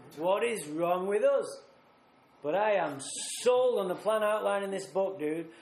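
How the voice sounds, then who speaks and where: A man with a Mancunian accent at a fairly slow pace, with audible room echo. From northern England, Manchester. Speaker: recovery speaker. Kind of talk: recovery talk at a retreat. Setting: retreat talk with audience. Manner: animated.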